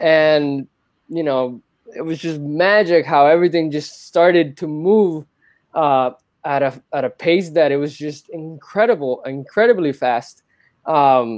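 With a Spanish accent, a man speaks at a fairly high pitch and a fairly slow pace, with ordinary pitch variation. The recording is very clean, with a silent background. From Cuba (Havana), moved to US at 13. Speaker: spiritual seeker and filmmaker. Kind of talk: casual interview about spirituality.

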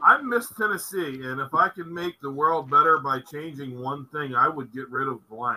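A man with an ordinary speaking voice, fairly high in pitch, lively in intonation, with big swings in loudness, a moderate pace and hardly any pauses. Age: 40s. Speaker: podcast co-host. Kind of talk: casual chat.

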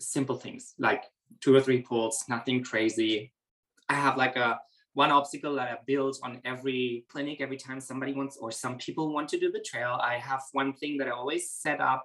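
Speaking at a fairly quick pace, a man uses a bright, sharp tone with monotone, flat intonation. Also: medium pitch for a man. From Germany, Berlin. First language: German. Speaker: horse trainer. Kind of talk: interview.

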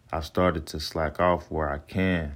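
A man speaks in a very deep, low voice with flat, monotone intonation. The recording is very clean, with a silent background. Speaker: podcast host, Navy sailor and chef. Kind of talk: reflective solo monologue reading journal entries.

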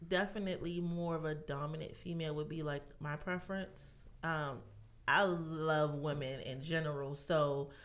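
A woman speaks in a very deep, low voice with audible room echo. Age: 30s. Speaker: massage therapist. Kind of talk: casual chat.

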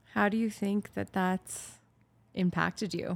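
Here is a woman with an ordinary speaking voice, pitched fairly low and moving at a fairly slow pace. The recording is very clean, with a silent background. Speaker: co-host interviewer. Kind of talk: casual chat.

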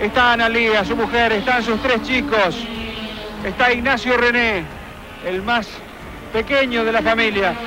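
An extremely high-pitched man's raised, projected voice, fairly slow with long, frequent pauses and fairly even intonation, amid noticeable background noise and audible room echo. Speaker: motorsport radio host. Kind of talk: scripted narration. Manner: dramatic.

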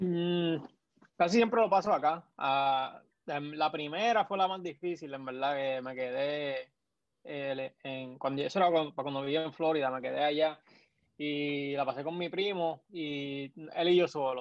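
Here a man has a plain, everyday voice, fairly high in pitch. He speaks at a fairly slow pace with ordinary pitch variation. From Puerto Rico, Naguabo. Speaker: sports podcaster. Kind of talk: casual chat.

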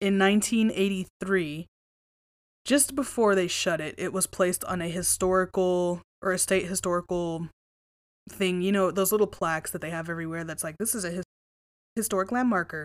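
This woman speaks at a medium pitch and a moderate pace, with ordinary pitch variation. The recording is very clean, the background silent. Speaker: paranormal podcast host. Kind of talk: solo podcast monologue. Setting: home recording at microphone. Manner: casual, profane; louder, close to microphone.

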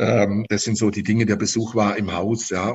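The speaker is a man. His pitch is fairly low. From Stuttgart, Germany. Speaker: insect screen business owner. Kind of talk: interview. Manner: halting, many repetitions and fillers.

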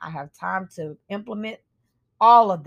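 A woman's normal speaking voice at medium pitch, fairly slow, with ordinary pitch variation and a dry, close sound with no echo. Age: 30s. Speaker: podcast host. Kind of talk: reflective solo monologue. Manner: casual, conversational with fillers.

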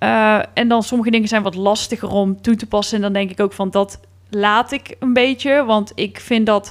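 Fairly even intonation at a moderate pace in an ordinary speaking voice. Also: woman, fairly high pitch for a woman. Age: 30s. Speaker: podcast co-host. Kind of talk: casual chat.

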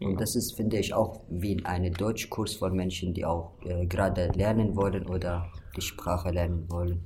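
With an Arabic accent, a man with a very deep, low voice speaks in a monotone, flat way at a moderate pace, with audible room echo. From Syria. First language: Arabic (speaking German). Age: 20s. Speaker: refugee association member. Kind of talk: casual interview.

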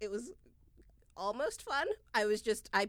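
A woman's medium-pitched voice at a fairly slow pace, on a very clean recording with a silent background. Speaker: podcast host and business executive. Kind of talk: casual chat podcast. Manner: loud, hearty laugh.

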